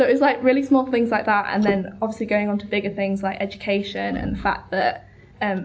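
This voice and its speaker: In a Yorkshire accent, a woman speaks fairly quickly at a medium pitch, with vocal fry and fairly even intonation. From North Yorkshire, near York. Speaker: student writer. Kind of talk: casual discussion.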